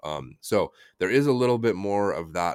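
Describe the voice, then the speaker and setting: A very clean recording with a silent background. The voice carries an American accent and ordinary pitch variation. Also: man. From United States. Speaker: translator and author. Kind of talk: casual interview chat.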